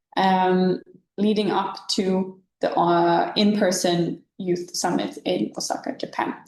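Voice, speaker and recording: A woman with a non-native accent speaks at a very slow pace, her loudness staying very even. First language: not English. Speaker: webinar co-host, youth programme staff. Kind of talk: informational webinar. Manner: halting.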